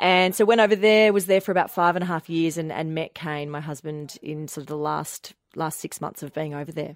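This woman, with an Australian accent, has a very deep, low pitch and ordinary pitch variation, talking at a fairly quick pace with hardly any pauses. Her loudness swings widely, and the recording is very clean with a silent background. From Melbourne, Australia. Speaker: television news reader. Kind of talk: casual radio interview. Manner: warm, chatty, animated.

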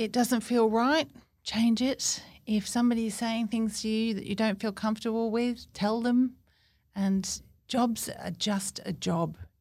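A somewhat breathy woman speaks at a fairly high pitch and fairly slow pace. The recording is very clean, with a silent background. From Cornwall, England. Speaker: business owner. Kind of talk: casual chat.

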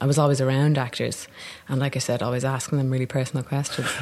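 A woman's very deep, low voice with a Dublin accent and fairly even intonation, over noticeable background noise. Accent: Dublin Irish. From Ireland, Dublin. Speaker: actor. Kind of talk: casual chat. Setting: café.

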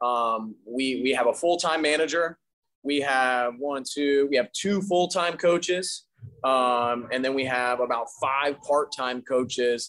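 A man with a fairly high-pitched voice speaks at a fairly slow pace, with ordinary pitch variation. He has an unremarkable speaking voice. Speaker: gym owner and trainer. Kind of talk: interview.

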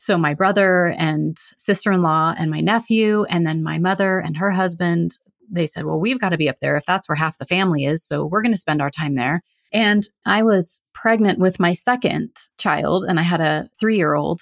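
With a West Coast American accent, a woman speaks in a fairly low voice at a moderate pace with ordinary pitch variation, the sound dry and close with no echo. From California. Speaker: hypnotherapist. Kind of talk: interview conversation.

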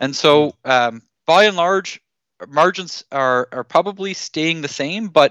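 Over a quiet background, a man with a Canadian accent and a fairly high pitch speaks with ordinary pitch variation in a dry, close sound with no echo. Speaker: agri-food policy expert. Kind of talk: radio interview. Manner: halting, repeats words.

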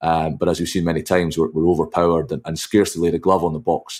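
In a very clean recording with a silent background, a man with a Scottish accent and very deep, low pitch talks at a fairly quick pace. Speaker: rugby commentator and journalist. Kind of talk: casual chat.

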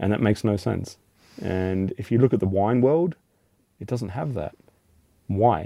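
A man with an Australian accent speaks in a fairly low voice with a dark, mellow tone. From Australia, Alice Springs. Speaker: chocolate maker, business owner. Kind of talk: interview.

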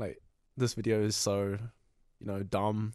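On a very clean recording with a silent background, a man with a New Zealand accent speaks at a moderate pace and a fairly low pitch. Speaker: comedy video creator. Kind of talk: casual interview.

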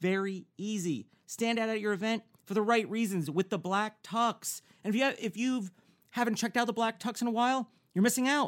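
With an American accent, a man talks at a fairly quick pace in a high voice with ordinary pitch variation, recorded very cleanly with a silent background and a dry, close sound with no echo. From US Northeast (New Jersey, New York). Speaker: podcast host. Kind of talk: casual chat. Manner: excitable.

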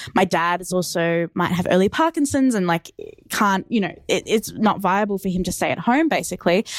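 Fairly quick speech from a woman with a fairly low pitch, an Australian accent and ordinary pitch variation, on a very clean recording with a silent background. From Australia, Melbourne. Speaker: listener. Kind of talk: voice memo monologue. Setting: voice memo recording. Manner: casual, chatty.

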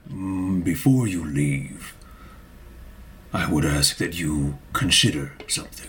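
A man's put-on character voice, very deep and low in pitch, with lively intonation, long, frequent pauses and clear background noise. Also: fairly slow pace. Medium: actual play. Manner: measured, thoughtful.

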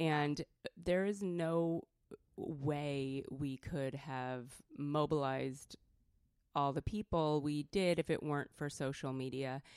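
Very slowly, a woman speaks in a West Coast American accent with a very deep, low pitch. The sound is dry and close, with no echo. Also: fairly even intonation. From California. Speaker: feminist activist and creative director. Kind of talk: interview conversation. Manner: soft-spoken.

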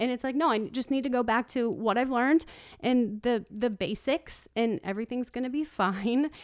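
With a dry, close sound and no echo, a woman talks at a high pitch with ordinary pitch variation. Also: moderate pace. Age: 30s. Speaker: podcast co-host. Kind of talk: casual chat.

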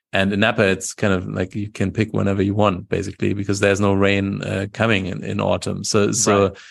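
A man's fairly low, monotone voice with vocal fry and a German accent, at a fairly quick pace, against a quiet background. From Germany. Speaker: wine expert and YouTuber. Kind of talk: interview. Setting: video call.

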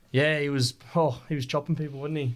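In an Australian accent, a man talks at a fairly quick pace with fairly even intonation, captured on a very clean recording with a silent background. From Australia, Rockhampton, Queensland. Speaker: professional rugby league player. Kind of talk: casual interview.

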